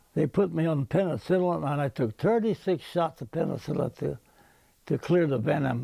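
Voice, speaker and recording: A man with an American accent speaks at a moderate pace in a fairly high pitch, his dark, mellow tone touched with vocal fry and lively intonation, recorded with a dry, close sound and no echo. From Nebraska, Genoa area, US. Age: 80s+. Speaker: war veteran. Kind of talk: interview. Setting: outdoors.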